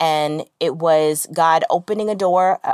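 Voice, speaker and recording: In a dry, close sound with no echo, a woman with a fairly low pitch uses a plain, everyday voice and fairly even intonation. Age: 30s. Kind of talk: faith-based devotional monologue. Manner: conversational with frequent fillers.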